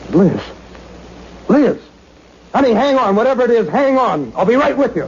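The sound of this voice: In a put-on character voice, a man speaks at an extremely high pitch with big pitch swings, a slightly mellow tone and a moderate pace.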